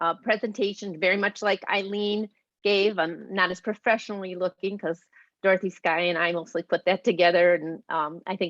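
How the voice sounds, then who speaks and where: In a quiet background with a dry, close sound and no echo, a woman talks at medium pitch with ordinary pitch variation. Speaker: volunteer advocate. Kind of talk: presentation. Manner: fast.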